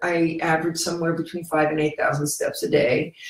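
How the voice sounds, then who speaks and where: A woman speaks with an American accent. Her voice is fairly low in pitch and somewhat breathy. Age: 60s. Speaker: video blogger. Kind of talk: casual monologue. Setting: computer video recording. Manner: halting.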